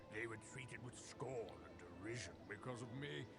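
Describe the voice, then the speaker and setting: A man uses a put-on character voice while loud music plays in the background. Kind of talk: comic broken-English act slipping into posh speech. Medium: actual play. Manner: switches between grunting broken English and refined eloquence.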